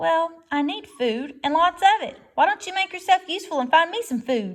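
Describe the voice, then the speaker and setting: A woman does a put-on character voice, pitched extremely high and delivered at a moderate pace. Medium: read story. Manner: sly.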